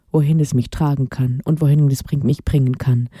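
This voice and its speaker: The sound is dry and close, with no echo. A woman speaks fairly slowly in a dark, mellow tone. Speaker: radio host. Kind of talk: personal monologue.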